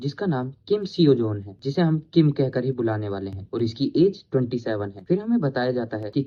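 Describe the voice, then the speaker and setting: A man's somewhat breathy, medium-pitched voice, with lively intonation at a moderate pace. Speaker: Hindi anime explainer narrator. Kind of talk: anime story recap narration.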